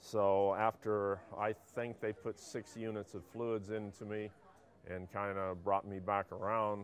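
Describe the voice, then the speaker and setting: Very slow, flat, monotone delivery from a man with a fairly low pitch. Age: 60s. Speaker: retired biologist, pesticide exposure witness. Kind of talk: personal testimony. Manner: halting, with frequent fillers.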